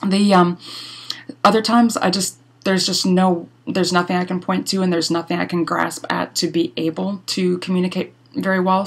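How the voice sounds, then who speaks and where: Fairly low for a woman, her voice keeps a fairly even intonation. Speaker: blogger. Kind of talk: casual talk to camera. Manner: fast.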